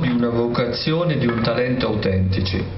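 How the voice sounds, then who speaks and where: A man's voice sits at a medium pitch, with noticeable noise in the background. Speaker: literary critic. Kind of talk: jury citation reading. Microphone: podium.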